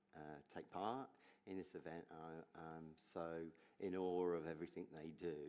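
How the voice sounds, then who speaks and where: A man with an English accent speaks at a moderate pace with long, frequent pauses. His very deep voice has a dark, mellow tone and fairly even intonation. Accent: English accent, noticeable. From English Midlands. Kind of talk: onstage interview, personal testimony. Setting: stage with audience at gala dinner.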